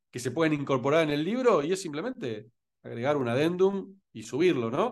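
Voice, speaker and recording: Fairly high-pitched male speech in a Rioplatense accent, with very wide pitch swings, a moderate pace, and a quiet background. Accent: Argentine Rioplatense Spanish. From Argentina (Rosario, Buenos Aires). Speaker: entrepreneur and LinkedIn expert. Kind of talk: interview.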